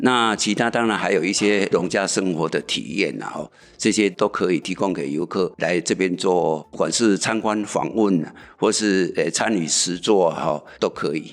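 A man with an ordinary speaking voice talks at a moderate pace, fairly low in pitch with ordinary variation, on a very clean recording with a silent background. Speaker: community association chairman. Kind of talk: interview explanation.

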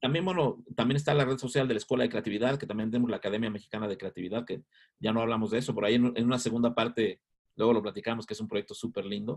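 The tone is energetic. The pace is very fast. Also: man, medium pitch for a man, ordinary pitch variation. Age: 50s. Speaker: advertising agency founder. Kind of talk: interview.

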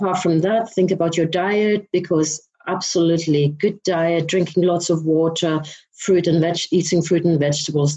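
This woman's voice sits fairly low, with a dark, mellow tone, a somewhat breathy quality and fairly even intonation. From Denmark. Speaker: beauty business founder. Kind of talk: casual interview.

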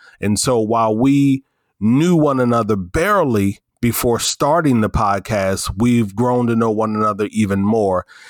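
A medium-pitched man with an American accent, moderate pace, ordinary pitch variation and very even loudness, in a very clean recording with a silent background. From US South. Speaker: podcast co-host, diversity and inclusion speaker. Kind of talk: casual discussion.

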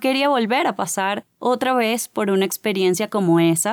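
Speaking at a fairly slow pace with a Caracas accent, a woman with a medium-pitched voice is heard in a dry, close sound with no echo. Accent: Caracas Venezuelan. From Venezuela, Caracas. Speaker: podcast host. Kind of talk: motivational monologue. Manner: animated.

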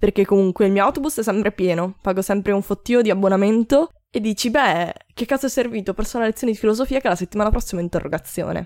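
At a very fast pace, a woman with a medium pitch and ordinary pitch variation is heard dry and close with no echo in a very clean recording with a silent background. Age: 20s. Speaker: podcaster and university student. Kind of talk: casual chat.

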